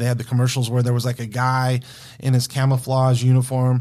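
A man speaks very fast in a medium-pitched, somewhat breathy voice. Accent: American. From Wyoming and Denver, US Mountain West. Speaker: bartender. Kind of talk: casual chat.

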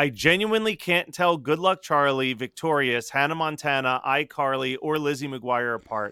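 This man has a plain, everyday voice with a fairly high pitch. He talks at a moderate pace with ordinary pitch variation. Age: 30s. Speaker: podcast co-host. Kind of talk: casual chat.

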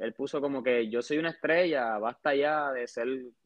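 The man talks at a moderate pace in a fairly high pitch, with ordinary pitch variation. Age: 20s. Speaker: sports fan. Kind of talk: casual chat. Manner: halting.

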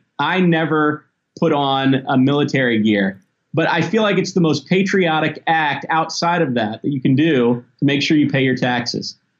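Speaking at a moderate pace with an American accent, a man has a plain, everyday voice that is fairly high, with ordinary pitch variation. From US South (Tennessee and Mississippi). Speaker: toy company executive. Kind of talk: interview.

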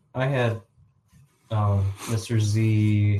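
At a very slow pace, a man talks in a fairly low pitch with a dark, mellow tone, a somewhat breathy quality and monotone, flat intonation. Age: 40s. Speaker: podcast co-host. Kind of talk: casual chat.

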